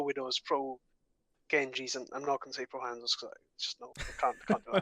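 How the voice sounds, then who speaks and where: A man with a strong Welsh accent speaks at a moderate pace, his tone bright and sharp and his intonation lively. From Wales, the valleys. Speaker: podcast co-host. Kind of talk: casual chat.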